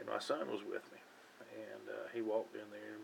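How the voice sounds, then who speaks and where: In a Southern US accent, a man speaks at a moderate pace. His tone is relaxed. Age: 40s. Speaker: hobbyist vlogger. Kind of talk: casual chat. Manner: relaxed, hesitant with fillers.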